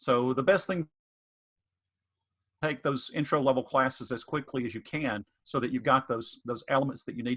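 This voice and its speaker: A man at medium pitch and a moderate pace, with long, frequent pauses and a dry, close sound with no echo. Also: ordinary pitch variation. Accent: Southern US. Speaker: economics professor. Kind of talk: panel Q&A answer. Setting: virtual online info session. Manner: hesitant, many fillers.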